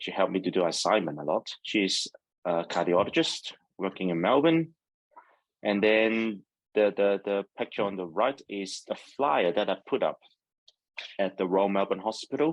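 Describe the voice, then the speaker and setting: In a Hong Kong accent, a man talks at a moderate pace with a fairly low pitch and lively intonation, pausing long and often. The sound is dry and close, with no echo. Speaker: neurologist. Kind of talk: seminar talk with slides. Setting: video call.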